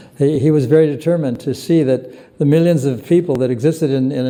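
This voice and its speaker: Audible room echo surrounds a man speaking at a moderate pace in a fairly high pitch with ordinary pitch variation. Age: 80s+. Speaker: spiritual teacher. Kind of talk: lecture with Q&A. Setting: temple. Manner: halting.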